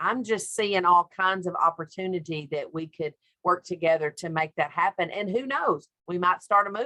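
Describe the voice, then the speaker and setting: A woman with a Southern US accent, fairly low-pitched, bright and sharp in tone, in a dry, close sound with no echo. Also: ordinary pitch variation. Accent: Southern drawl. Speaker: childcare expert panelist. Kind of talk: webinar panel discussion.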